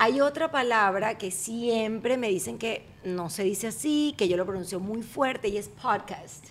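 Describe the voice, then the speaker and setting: Her tone animated, a woman talks at a fairly high pitch with ordinary pitch variation. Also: fairly slow pace, hardly any pauses. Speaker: podcast host. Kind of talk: casual chat.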